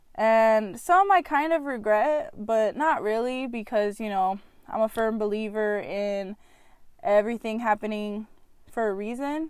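A woman speaks at a fairly slow pace with a fairly high pitch and ordinary pitch variation, in a plain, everyday voice. The recording is very clean, with a silent background. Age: 20s. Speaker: podcast host. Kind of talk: personal monologue.

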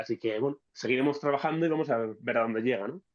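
This man has a fairly high pitch and an unremarkable speaking voice. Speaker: podcast host. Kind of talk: casual chat.

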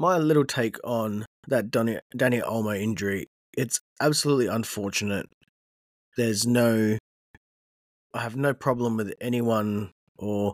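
A fairly low-pitched man with an Australian accent at a moderate pace, dry and close with no echo. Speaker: football podcast host. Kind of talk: solo podcast monologue. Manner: hesitant, frequent fillers.

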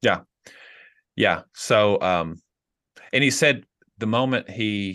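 A man with a Tennessee accent speaks with ordinary pitch variation against a quiet background. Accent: Southern US (Tennessee). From US South, rural Tennessee. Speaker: pastor. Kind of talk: casual chat.

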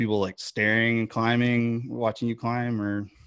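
This is a man with a medium-pitched voice. His intonation stays fairly even. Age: 40s. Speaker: podcast co-host. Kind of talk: casual interview.

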